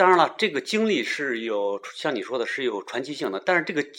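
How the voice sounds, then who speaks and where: A man talks at a fairly quick pace with vocal fry. His pitch swings very widely. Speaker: podcast host. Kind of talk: casual chat.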